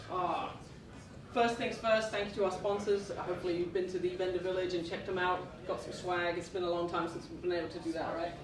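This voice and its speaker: A woman with an American accent speaks very fast at medium pitch in a monotone, flat intonation. Noticeable background noise and audible room echo fill the recording. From England. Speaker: conference speaker, database engineer. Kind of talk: technical conference talk.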